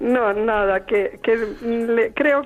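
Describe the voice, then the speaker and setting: A woman with a fairly high voice talks over noticeable background noise. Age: old. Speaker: radio listener caller. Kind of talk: phone-in call. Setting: phone call.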